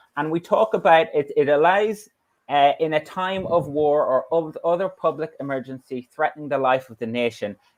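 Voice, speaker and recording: Fairly high-pitched speech from a man with an Irish accent, at a moderate pace with ordinary pitch variation. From Ireland. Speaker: law professor. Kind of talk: lecture. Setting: online conference talk.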